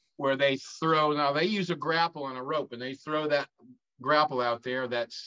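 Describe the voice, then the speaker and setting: A man with a Southern US accent talks at a moderate pace with a fairly high pitch and ordinary pitch variation. His tone is bright and sharp, in a dry, close sound with no echo. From North Carolina. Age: 60s. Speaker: former drug smuggler, author. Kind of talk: interview storytelling. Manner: halting, many fillers.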